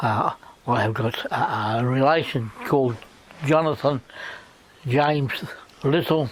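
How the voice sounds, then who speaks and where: Against noticeable background noise, a man speaks at a fairly slow pace with long, frequent pauses and ordinary pitch variation. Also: medium pitch for a man. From Sydney, Australia. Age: 70s. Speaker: war veteran. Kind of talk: interview. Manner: halting.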